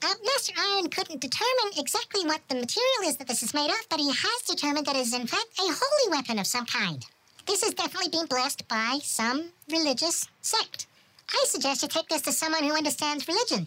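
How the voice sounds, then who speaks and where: Someone does a put-on character voice, high in pitch and very fast. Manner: polite, obsequious.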